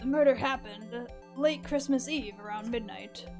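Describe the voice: A woman's put-on character voice, raspy and fairly high in pitch, at a moderate pace with clear music in the background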